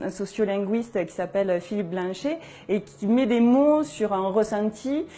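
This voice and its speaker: With a strong southern French accent, a woman speaks at a fairly high pitch. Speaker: journalist. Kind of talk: interview testimony. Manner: hesitant, many fillers.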